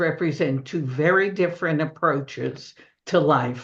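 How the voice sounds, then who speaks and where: A woman in a Brooklyn accent, at a fairly slow pace against a quiet background. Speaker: book discussion presenter. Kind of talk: literary talk with slides.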